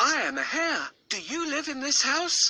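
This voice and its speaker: High-pitched put-on character voice. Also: moderate pace. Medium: read story.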